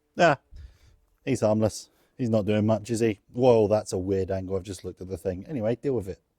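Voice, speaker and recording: A man's fairly quick, fairly low voice with an English accent, dark and mellow in tone, ordinary pitch variation, dry and close with no echo, on a very clean recording with a silent background. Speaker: online reseller. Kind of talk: vlog.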